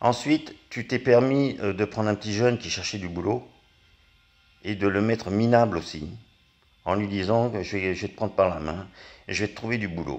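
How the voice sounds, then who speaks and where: A man speaks at a moderate pace with a fairly low pitch and ordinary pitch variation. He leaves long, frequent pauses. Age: 60s. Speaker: angry citizen vlogger. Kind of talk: political rant. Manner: halting.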